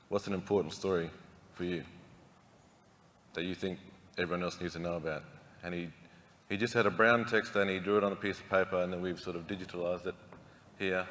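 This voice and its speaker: Speaking at a very fast pace yet with long, frequent pauses, a man with a very deep, low pitch keeps his intonation fairly even. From Central Australia, Alice Springs. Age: 40s. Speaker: narrative therapist and community leader. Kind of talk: keynote speech. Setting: conference stage with audience.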